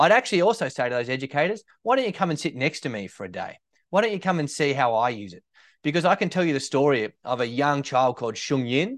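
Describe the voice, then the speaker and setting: Against a quiet background, a man with an Australian accent speaks at a fairly high pitch with lively intonation. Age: 30s. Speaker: teacher and ed-tech founder. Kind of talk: interview conversation.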